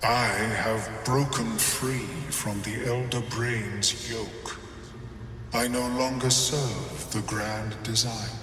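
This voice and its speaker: This put-on character voice moves at a very slow pace. Loud background noise and a clear echo fill the recording. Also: man, medium pitch for a man. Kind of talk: video game voice acting. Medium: machinima. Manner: measured, formal, scholarly.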